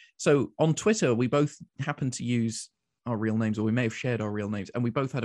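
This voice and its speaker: In a London accent, a man speaks very fast, the sound dry and close with no echo over a quiet background. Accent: English, London-area. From London, England. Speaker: community radio station manager. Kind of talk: interview conversation. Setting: video call. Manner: dry witty.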